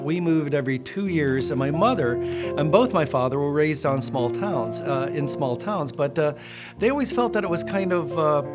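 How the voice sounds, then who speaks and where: Music plays in the background. A man speaks in a fairly high pitch with an American accent. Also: lively intonation, moderate pace. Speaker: fine art auctioneer and TV host. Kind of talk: casual talk to camera, promotional introduction. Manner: friendly, conversational, warm.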